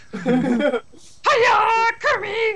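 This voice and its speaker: A put-on character voice swings very widely in pitch. Clear background noise sits behind it. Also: extremely high pitch. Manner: bright, cheerful greeting.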